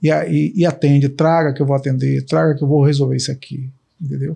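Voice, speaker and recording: A man with a fairly high but dark, mellow voice speaks at a moderate pace, somewhat breathy, with fairly even intonation. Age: 60s. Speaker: candidate's father. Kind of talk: interview testimonial. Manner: halting, many fillers.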